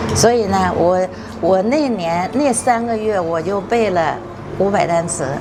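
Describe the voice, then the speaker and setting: A woman speaks at a medium pitch and a fairly slow pace, with ordinary pitch variation and noticeable background noise. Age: 80s+. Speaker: retired medical professor, traditional Chinese medicine doctor. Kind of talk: documentary interview answer.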